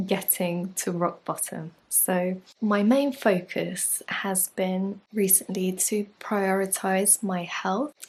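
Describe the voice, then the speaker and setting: A soft-spoken woman talks at a very slow pace in a somewhat breathy, medium-pitched voice with fairly even intonation. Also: very clean recording, silent background. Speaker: yoga teacher and life coach. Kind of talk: casual vlog talk. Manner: soft-spoken, speaking quietly.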